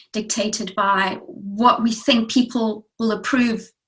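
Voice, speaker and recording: A woman at a fairly high pitch speaks with fairly even intonation in an ordinary speaking voice. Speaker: transformation coach and community radio presenter. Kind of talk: interview host.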